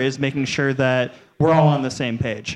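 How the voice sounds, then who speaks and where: Fairly even intonation at a moderate pace, in an ordinary speaking voice with an American accent. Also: man. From Cleveland, Ohio. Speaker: brewery marketing director. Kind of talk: casual panel discussion. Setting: live show with audience.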